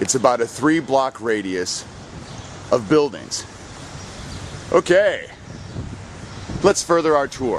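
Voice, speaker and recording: Over noticeable background noise, a man speaks at a fairly high pitch. His pace is very slow, with long, frequent pauses. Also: lively intonation. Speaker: citizen investigator. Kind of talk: walking tour narration. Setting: outdoors, walking downtown streets.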